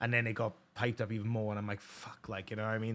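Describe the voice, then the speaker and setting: In a Welsh accent, a man speaks at a medium pitch on a very clean recording with a silent background. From Wales. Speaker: podcast host. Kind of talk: casual chat. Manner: halting, many false starts.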